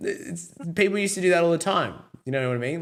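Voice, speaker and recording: This man speaks with an Australian accent. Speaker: podcast host. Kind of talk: casual chat.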